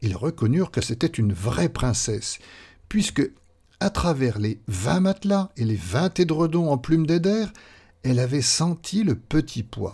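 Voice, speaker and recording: Very slowly, a man speaks in a dark, mellow tone with very wide pitch swings, on a very clean recording with a silent background. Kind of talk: fairy tale narration, read aloud. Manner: storyteller's measured, gently expressive pace.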